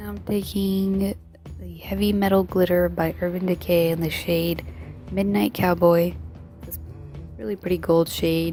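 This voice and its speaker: Against music in the background, a woman speaks at a fairly slow pace with long, frequent pauses. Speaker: makeup artist. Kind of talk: makeup tutorial voiceover. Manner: casual.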